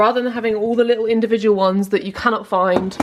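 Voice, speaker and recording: Noticeable background noise fills the recording. The talking goes at a fairly quick pace. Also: woman. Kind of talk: casual vlog talk to camera. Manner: chatty, upbeat.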